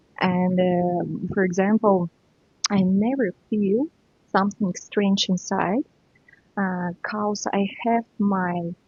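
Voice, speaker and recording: A woman speaks at a very slow pace with long, frequent pauses, her medium-pitched voice keeping very even loudness. Her intonation is fairly even, and music plays in the background. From Ukraine (born in Russia). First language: Russian and Ukrainian. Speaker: spiritual teacher and author. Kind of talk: podcast interview. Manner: halting, non-native phrasing.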